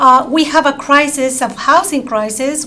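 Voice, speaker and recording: A woman with a strong non-native accent uses a raised, projected voice at a high pitch. Noticeable background noise and audible room echo surround her. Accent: strong foreign. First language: not English. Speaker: public testifier at city council. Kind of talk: public testimony. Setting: city council chambers. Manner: halting, many fillers.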